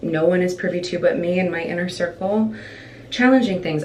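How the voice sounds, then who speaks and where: A woman talks at a moderate pace with ordinary pitch variation. The room echo is audible, and there is noticeable background noise. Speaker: stage actor and vlogger. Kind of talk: casual chat. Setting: at home, filming while getting ready. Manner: rambling.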